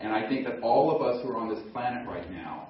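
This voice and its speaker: A man with an American accent talks in a medium pitch. Audible room echo and noticeable background noise surround him. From US South. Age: 60s. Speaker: emergency doctor and speaker. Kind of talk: conference talk. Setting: stage with audience.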